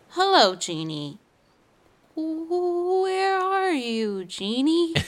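A put-on character voice from a woman, extremely high-pitched, at a very slow pace. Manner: playful, theatrical genie voice.

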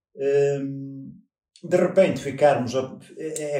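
Room echo can be heard around the voice. The speaker is a man with a fairly high pitch. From northern Portugal. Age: 50s. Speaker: parishioner. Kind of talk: interview. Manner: halting.

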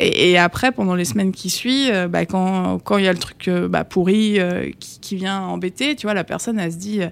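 A woman at a medium pitch and a moderate pace with ordinary pitch variation and hardly any pauses, on a very clean recording with a silent background. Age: 30s. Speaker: cartomancer. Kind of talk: casual interview chat. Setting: studio. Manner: hesitant, many fillers.

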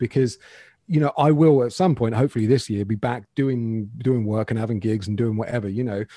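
In a very clean recording with a silent background, a man with a southern English accent speaks at a fairly quick pace, with medium pitch, ordinary pitch variation and a dark, mellow tone. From England, Bedfordshire. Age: 40s. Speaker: guitar YouTuber. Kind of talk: casual interview.

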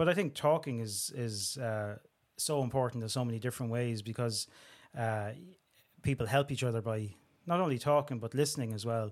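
Speaking fairly quickly in a Dublin accent, a man is heard on a very clean recording with a silent background. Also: medium pitch for a man, ordinary pitch variation. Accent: Dublin Irish. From Dublin, Tallaght. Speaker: crime and security journalist. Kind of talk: interview conversation.

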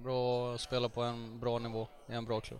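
A man talks at a medium pitch. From Gothenburg, Sweden. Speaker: footballer. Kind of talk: casual chat.

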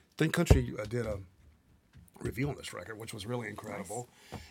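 A man with a Mississippi accent, medium in pitch, with lively intonation on a very clean recording with a silent background. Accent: Southern US (Mississippi). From US South, Mississippi Delta (Greenville, Mississippi). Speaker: songwriter, producer and guitarist. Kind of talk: casual interview. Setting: studio.

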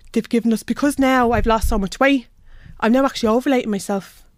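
A woman talks with a Dublin accent at a fairly quick pace. The recording is very clean, with a silent background. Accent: Irish (Dublin). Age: 30s. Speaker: healthcare assistant. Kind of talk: interview. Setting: studio.

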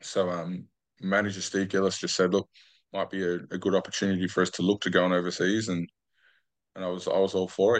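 A man with an Australian accent speaks at a very fast pace and a very deep, low pitch. His intonation is monotone and flat, over a quiet background. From Australia, New South Wales Central Coast. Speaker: retired rugby league player. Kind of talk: interview.

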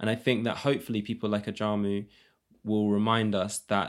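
On a very clean recording with a silent background, a man with a London accent talks at a fairly quick pace in a fairly low, monotone, flat voice. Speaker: multidisciplinary artist. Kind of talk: casual chat.

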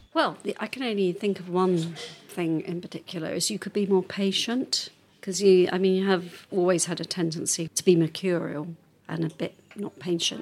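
A woman talks at a moderate pace in a medium pitch. Noticeable background noise is present. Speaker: spouse of a person with Parkinson's. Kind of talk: casual chat. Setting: pub.

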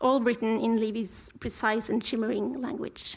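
Her pitch is fairly high and her pace moderate. The recording is very clean, with a silent background. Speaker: event programmer introducing. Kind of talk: scripted introduction.

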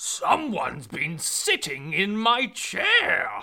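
Very slow, fairly high-pitched speech in a put-on character voice. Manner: growling.

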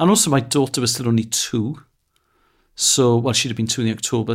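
Speaking with a Welsh accent, a man uses a medium pitch. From Wales. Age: 40s. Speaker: comedian. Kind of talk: casual chat.

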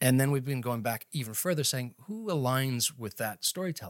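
A man with a Canadian Maritime accent at a very fast pace and medium pitch, in a very clean recording with a silent background and a dry, close sound with no echo. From Nova Scotia, Canada. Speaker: marketing executive and company co-founder. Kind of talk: casual interview.

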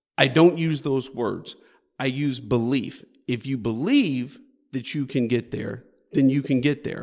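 An animated man with an American accent talks at a moderate pace, his medium pitch showing ordinary variation. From Houston, Texas. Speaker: company CEO and author. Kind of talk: podcast interview. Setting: early-morning recording. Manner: animated, repeats words at phrase starts.

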